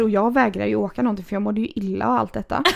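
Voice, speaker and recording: A woman speaks at a medium pitch with vocal fry. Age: 30s. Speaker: podcast host. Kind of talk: casual chat.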